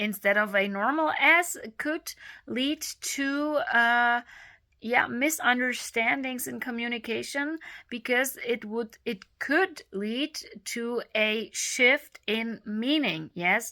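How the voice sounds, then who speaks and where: In a very clean recording with a silent background, a woman with a German accent speaks very slowly in a high voice with lively intonation. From Germany. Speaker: speech therapy video creator. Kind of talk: informal tutorial. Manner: halting, many fillers.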